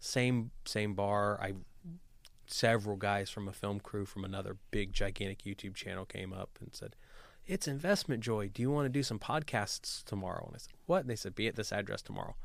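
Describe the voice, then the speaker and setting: With an American accent and an unremarkable speaking voice, a man of fairly low pitch talks at a fairly quick pace with ordinary pitch variation and big swings in loudness, on a very clean recording with a silent background. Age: 30s. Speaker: real estate investor and entrepreneur. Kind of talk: interview.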